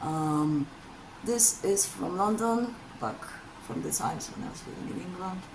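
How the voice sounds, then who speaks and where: In a Polish accent, a woman speaks very slowly with lively intonation, her voice carrying an audible room echo and noticeable background noise. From Poland. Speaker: vlogger. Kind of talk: casual chat. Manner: hesitant, many ums.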